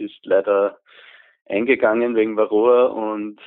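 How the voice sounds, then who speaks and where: Here a man talks at a fairly slow pace. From Upper Austria. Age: 20s. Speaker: student beekeeper. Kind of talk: interview.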